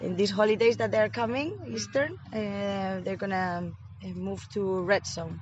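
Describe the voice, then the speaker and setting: A woman in a Spanish accent speaks at a fairly slow pace. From Spain, Madrid. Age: 20s. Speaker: Erasmus volunteer. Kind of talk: interview. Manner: hesitant with fillers.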